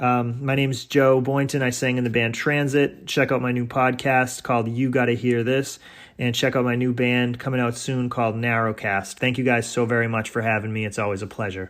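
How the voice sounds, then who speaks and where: Medium-pitched speech from a man with an American accent, at a moderate pace and with fairly even intonation. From Massachusetts. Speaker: singer in a rock band, podcaster. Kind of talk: recorded guest segment. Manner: halting, many fillers.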